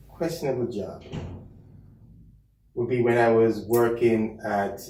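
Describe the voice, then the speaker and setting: A man speaks with a Jamaican accent. Audible room echo and noticeable background noise fill the recording. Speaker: chief medical officer, physician. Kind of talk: casual interview. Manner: halting, many fillers.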